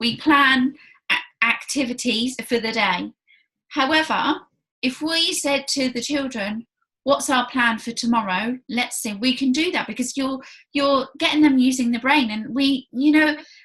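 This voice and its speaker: A woman speaks in a Southern English accent with a raised, projected voice at a high pitch. She goes at a fairly slow pace with ordinary pitch variation. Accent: British, Hampshire. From southern England, Hampshire. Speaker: early years consultant, interviewer. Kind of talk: interview.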